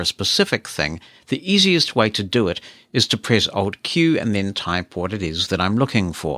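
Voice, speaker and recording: With a New Zealand accent, a man speaks at a moderate pace in a bright, sharp tone with very wide pitch swings, on a very clean recording with a silent background and a dry, close sound with no echo. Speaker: podcast host. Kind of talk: tech demo.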